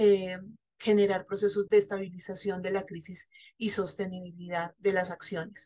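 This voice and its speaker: Set against a quiet background, the voice is dark, mellow and somewhat breathy, with flat, monotone intonation and big swings in loudness. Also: woman, medium pitch for a woman, moderate pace. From Colombia. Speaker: NGO representative; panelist. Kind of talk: panel discussion. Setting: virtual session. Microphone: video call.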